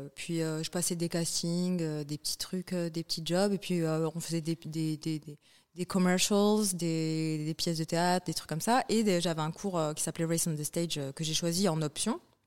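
A woman with a normal speaking voice talks at a fairly slow pace, with a fairly low pitch and fairly even intonation. The recording is very clean, with a silent background. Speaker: TV presenter and producer. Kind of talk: casual interview.

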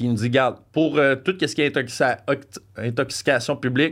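The speaker is a man with ordinary pitch variation. His pace is fairly quick. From Franco-Ontario, Canada. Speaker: podcast guest. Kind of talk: casual chat, storytelling.

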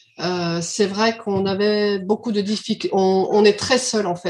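A woman uses a normal speaking voice, pitched in the medium range and fairly even in intonation. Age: 50s. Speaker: childminder, club co-founder. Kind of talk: casual interview.

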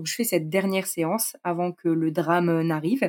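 Recorded dry and close with no echo, a woman with a normal speaking voice and a fairly low pitch talks at a moderate pace. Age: 30s. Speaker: amateur rider, horse owner. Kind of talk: personal testimony in interview.

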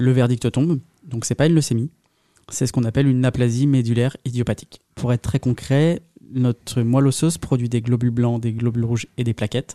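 This man talks at a fairly quick pace with medium pitch and fairly even intonation. His tone is dark and mellow, and the sound is dry and close with no echo. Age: 30s. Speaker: patient with chronic blood disease. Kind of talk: interview testimony.

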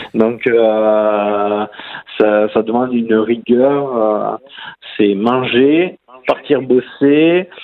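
A man speaks at a very slow pace and medium pitch, with ordinary pitch variation, very even loudness, and long, frequent pauses. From southern France. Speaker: para-cyclist and police officer. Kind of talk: interview. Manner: halting.

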